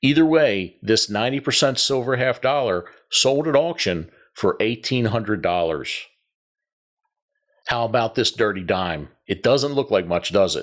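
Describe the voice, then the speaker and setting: In a Baltimore accent, a man speaks at a moderate pace with medium pitch and lively intonation on a very clean recording with a silent background. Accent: Baltimore-area Maryland. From Maryland, Pasadena (Baltimore area). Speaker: coin collecting YouTuber. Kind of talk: scripted narration.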